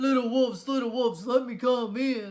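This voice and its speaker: A woman's put-on character voice at a high pitch. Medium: read story. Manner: grunting, menacing.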